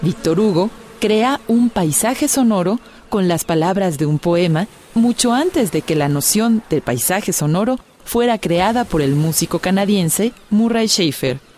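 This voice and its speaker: A woman talks at a medium pitch and a fairly slow pace, with lively intonation and very even loudness. Background noise is noticeable. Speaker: radio documentary narrator. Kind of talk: scripted narration. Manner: formal, measured.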